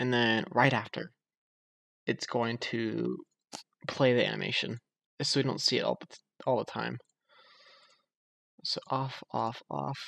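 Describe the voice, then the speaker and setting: A quiet man at medium pitch, fairly even in intonation and fairly slow, in a dry, close sound with no echo. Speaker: game programming tutorial creator. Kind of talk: screen-recorded coding tutorial. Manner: quiet, subdued speaking; casual with many fillers.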